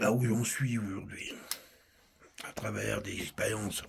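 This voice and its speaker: The man's voice sits at a medium pitch. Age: 60s. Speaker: personal video blogger. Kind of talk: personal reflective monologue. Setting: countryside home. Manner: halting.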